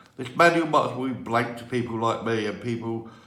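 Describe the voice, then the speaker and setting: A man speaks at a moderate pace in a medium pitch, with fairly even intonation, audible room echo and noticeable background noise. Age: 60s. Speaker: Lego hobbyist video creator. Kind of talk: tutorial. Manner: halting.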